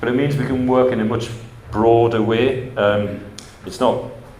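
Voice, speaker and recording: With an English accent and a medium pitch, a man speaks amid audible room echo. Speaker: housing agency director. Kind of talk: conference presentation. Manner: fast; hesitant with fillers.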